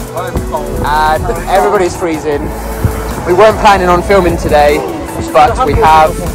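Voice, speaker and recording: A dry sound with no echo, with clear music in the background. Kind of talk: casual vlog chat. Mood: celebratory, excited. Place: waterside. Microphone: phone near.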